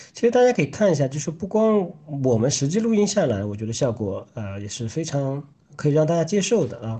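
A man's fairly high, somewhat breathy voice with a dark, mellow tone, fairly quick pace, very wide pitch swings and big swings in loudness. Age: 30s. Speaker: podcast co-host. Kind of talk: casual chat.

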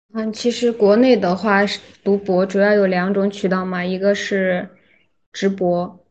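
Her delivery is monotone and flat. The woman talks at a fairly slow pace. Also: medium pitch for a woman. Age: 20s. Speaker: PhD student. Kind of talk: casual chat.

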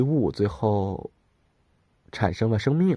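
In a very clean recording with a silent background, a somewhat breathy voice with a dark, mellow tone moves at a fairly slow pace with lively intonation. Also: man. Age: 30s. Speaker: podcast host. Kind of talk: solo casual monologue.

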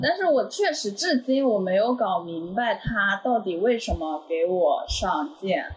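Over noticeable background noise, a woman speaks at a fairly slow pace with hardly any pauses. Her fairly high pitch has very wide swings. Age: 20s. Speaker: former live streamer. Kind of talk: casual chat.

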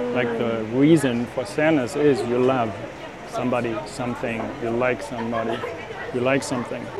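A man with a German accent speaks at a moderate pace in a flat monotone at medium pitch, with noticeable background noise and audible room echo. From Germany. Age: 50s. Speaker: life coach and entrepreneur. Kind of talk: interview. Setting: cafe.

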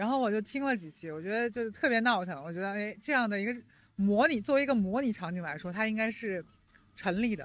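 A woman with a slight Jiangsu-Zhejiang-Shanghai accent talks at a very fast pace with lively intonation. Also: medium pitch for a woman. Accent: little Jiangsu-Zhejiang-Shanghai. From Jiangsu (Nanjing). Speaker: podcast host. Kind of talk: casual chat. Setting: outdoors by the roadside.

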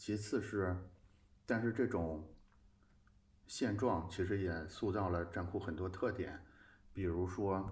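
Audible room echo surrounds a man speaking very slowly in a very deep, low voice, somewhat breathy, with fairly even intonation and long, frequent pauses. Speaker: design community editor-in-chief and podcast host. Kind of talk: casual conversational interview. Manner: hesitant, with repeated filler words.

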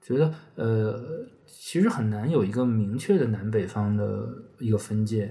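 A man speaks at a fairly slow pace with a fairly low pitch and ordinary pitch variation. His tone is dark, mellow and somewhat breathy. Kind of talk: casual chat.

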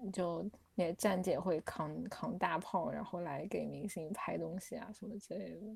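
Vocal fry runs through fairly even intonation at a fairly slow pace, on a very clean recording with a silent background. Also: woman. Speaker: student abroad. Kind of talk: casual chat.

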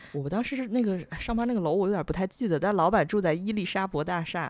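This woman has an unremarkable speaking voice of medium pitch with ordinary pitch variation, captured in a very clean recording with a silent background. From China, Tianjin. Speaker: podcast host, freelance writer. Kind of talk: casual chat.

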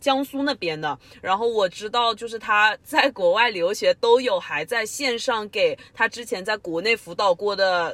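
In a dry, close recording with no echo, a woman with a fairly high pitch speaks at a fairly slow pace with lively intonation and hardly any pauses. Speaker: podcast co-host. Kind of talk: casual chat.

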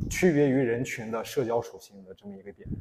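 A man talks at a very fast pace in a medium pitch. His tone is dark and mellow, and somewhat breathy. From Inner Mongolia. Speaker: barista and coffee instructor. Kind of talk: public talk.

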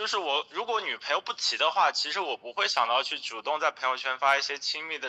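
A man's bright, sharp voice at a very fast pace, lively in intonation, with a dry, close sound and no echo. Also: fairly high pitch for a man, hardly any pauses. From Hangzhou, eastern China. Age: 20s. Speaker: podcast guest. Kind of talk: casual interview. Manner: halting, many fillers.

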